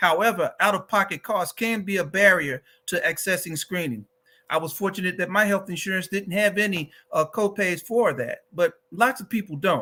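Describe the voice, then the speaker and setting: Projecting his raised voice, a man speaks at a moderate pace in a high pitch with a bright, sharp tone and ordinary pitch variation, in a very clean recording with a silent background. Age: 60s. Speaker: advocacy organization director, cancer survivor. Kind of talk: advocacy talk.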